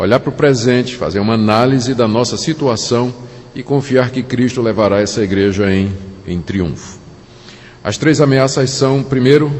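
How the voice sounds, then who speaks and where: Speaking at a fairly slow pace with lively intonation, a man with a Pernambuco accent and medium pitch is heard through noticeable background noise and audible room echo. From Brazil, Recife (Pernambuco). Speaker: pastor. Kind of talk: sermon.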